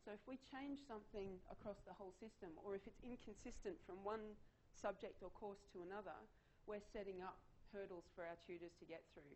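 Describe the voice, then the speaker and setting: A woman talks at a fairly quick pace, her medium pitch showing ordinary pitch variation. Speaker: conference presenter, online learning designer. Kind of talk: conference presentation. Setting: conference room with audience. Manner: fast.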